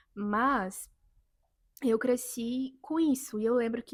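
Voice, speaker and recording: A woman with an unremarkable speaking voice and a fairly high pitch is heard on a very clean recording with a silent background. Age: 20s. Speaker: vlogger. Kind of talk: personal testimony vlog.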